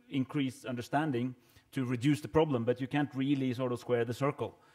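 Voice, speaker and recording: In a Norwegian accent, a man speaks at a fairly quick pace with a medium pitch, a dark, mellow tone and fairly even intonation. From Norway. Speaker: government minister. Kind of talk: panel discussion. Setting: stage with audience. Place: hall. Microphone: podium.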